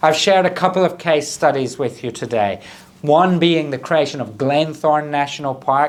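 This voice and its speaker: A man with a Scottish accent talks at a moderate pace in a fairly high pitch with ordinary pitch variation. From southern Scotland. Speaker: government minister. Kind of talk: prepared conference speech. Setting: recorded video address.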